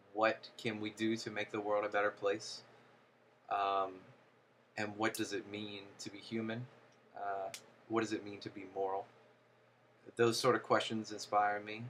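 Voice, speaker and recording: A man with an American accent talks in a fairly low, monotone, flat voice at a moderate pace. His loudness swings a lot, and he pauses long and often. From US South, Louisiana (Baton Rouge). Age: 20s. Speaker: musician and producer. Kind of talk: casual monologue to camera. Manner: hesitant, many filler words.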